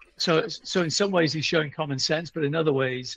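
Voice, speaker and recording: A man with a British accent, somewhat breathy, at a moderate pace with ordinary pitch variation, in a dry, close sound with no echo. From UK. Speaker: author and history publisher. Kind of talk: interview.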